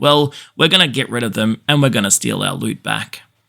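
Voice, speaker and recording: Fairly quick, bright and sharp, a man's medium-pitched voice in an Australian accent. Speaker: gaming YouTuber. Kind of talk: scripted narration.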